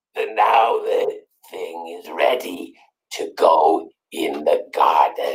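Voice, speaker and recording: A man puts on a character voice and delivers his lines very slowly. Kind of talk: gothic mock-solemn pronouncement. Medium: game stream. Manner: grave, ceremonious, deadpan.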